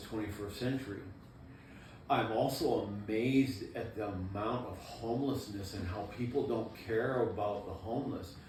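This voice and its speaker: A man with an American accent speaks at a moderate pace in a medium pitch, his intonation fairly even, with audible room echo and noticeable background noise. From Maine, US. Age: 60s. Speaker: former prison inmate. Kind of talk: interview.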